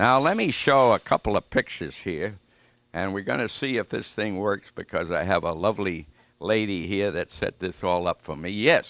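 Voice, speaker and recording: Against a quiet background, a man with a New England accent speaks at a moderate pace with lively intonation, the sound dry and close with no echo. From New York City (Flushing, Queens). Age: 90s. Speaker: war veteran. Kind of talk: lecture. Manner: halting.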